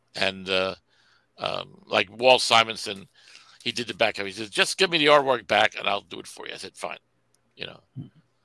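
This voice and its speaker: A man with a New York accent speaks at a fairly quick pace and a medium pitch, his bright, sharp tone carrying lively intonation and big swings in loudness, broken by long, frequent pauses, in a dry sound with no echo over a quiet background. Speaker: comic book creator. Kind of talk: casual chat. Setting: video call. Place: home room.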